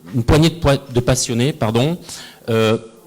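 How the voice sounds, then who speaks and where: A man talks in a medium-pitched voice. The pitch rises and falls in an ordinary way. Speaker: innovation analyst, panelist. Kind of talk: panel talk. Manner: hesitant, many fillers.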